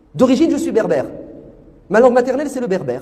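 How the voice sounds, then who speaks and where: Amid noticeable background noise, a man speaks in an animated tone at an extremely high pitch, with very wide pitch swings. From France. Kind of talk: religious talk.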